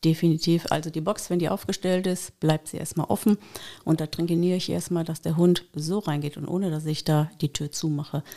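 A woman's fairly low voice, dark and mellow in tone, flat and monotone, at a fairly quick pace. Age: 50s. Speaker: dog trainer. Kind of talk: casual chat.

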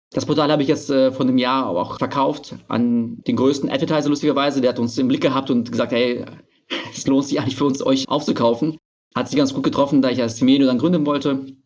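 A man's very fast, monotone, flat delivery. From Berlin, Germany. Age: 30s. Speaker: online marketing entrepreneur. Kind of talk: podcast interview.

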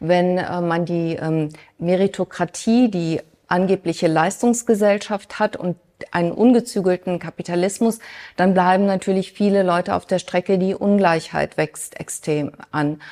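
A woman speaks in a plain, everyday voice at a medium pitch and a fairly slow pace. Her intonation is fairly even, and the recording is very clean with a silent background. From Germany, Mönchengladbach. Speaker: business consultant and economics expert. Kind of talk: interview before a live audience.

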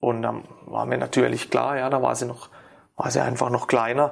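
Recorded very cleanly with a silent background, a man speaks at a moderate pace with fairly even intonation. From Ortenau, Baden-Württemberg, Germany. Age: 40s. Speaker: sports therapist. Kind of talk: interview. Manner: halting, many fillers.

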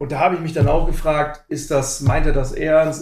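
Somewhat breathy, a man's voice unfolds at a moderate pace. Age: 40s. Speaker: football fan, forum member. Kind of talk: casual chat.

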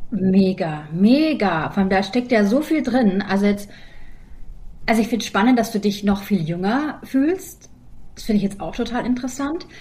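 A woman's somewhat breathy, fairly high voice with a dark, mellow tone, lively intonation and a moderate pace. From Germany. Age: 40s. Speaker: podcast co-host and comedian. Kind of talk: casual chat.

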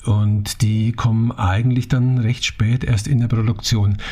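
A man speaks at a very slow pace in a fairly low, monotone voice. Noticeable background noise is audible. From Franconia, Germany (Naila). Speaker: theatre director and mask ensemble co-founder. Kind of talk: interview conversation.

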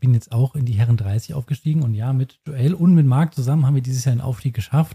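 A man speaks at a medium pitch with a dark, mellow tone, somewhat breathy and with fairly even intonation. The sound is dry and close, with no echo. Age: 30s. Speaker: tennis podcast co-host. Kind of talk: casual chat. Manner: halting.

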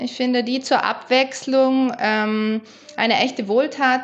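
Very slow in pace, a woman talks with a fairly high pitch. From South Tyrol, Meran area. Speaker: holistic body therapist. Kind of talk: casual interview.

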